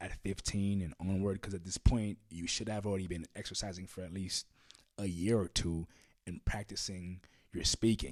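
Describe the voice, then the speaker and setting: In a monotone, flat delivery, a man speaks with a very deep, low pitch. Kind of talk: casual talk to camera. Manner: casual, frank, uses profanity.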